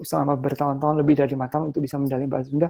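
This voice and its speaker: The man's voice is fairly high in pitch. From Ambon, eastern Indonesia. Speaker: lecturer. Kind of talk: lecture. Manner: casual, conversational with fillers.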